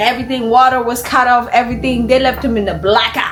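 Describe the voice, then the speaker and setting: Over music in the background and audible room echo, a woman speaks in an animated tone. Her pitch is high and her pace fairly quick. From Kenya. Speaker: YouTuber, reaction commentator. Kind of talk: casual reaction commentary.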